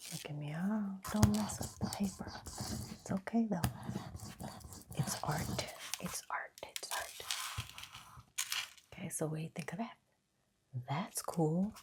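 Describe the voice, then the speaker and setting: The speaker whispers in a soft-spoken way at a fairly slow pace. Long, frequent pauses break up the delivery. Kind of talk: ASMR crafting video, casual talk to camera. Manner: soft-spoken, whispering.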